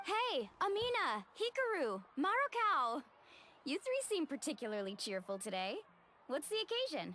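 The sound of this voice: A woman puts on a high-pitched character voice with a bright, sharp tone. Her pitch swings very widely at a moderate pace.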